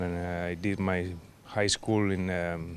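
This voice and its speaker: At a moderate pace, a man talks with a Spanish accent over noticeable background noise. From Argentina, Patagonia. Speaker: restaurant owner. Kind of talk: interview. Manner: halting.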